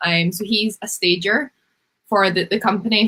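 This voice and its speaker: A woman with a Scottish accent, medium in pitch and bright, sharp in tone, at a moderate pace with ordinary pitch variation. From Scotland, Glasgow. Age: 20s. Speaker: home stager, business owner. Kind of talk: interview.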